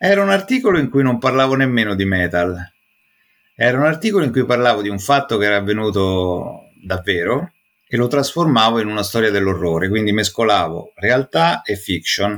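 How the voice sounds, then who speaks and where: Over a silent background in a very clean recording, a man speaks at a medium pitch and a fairly quick pace, with lively intonation. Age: 40s. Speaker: metal music journalist. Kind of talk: casual interview. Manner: halting, repeats words.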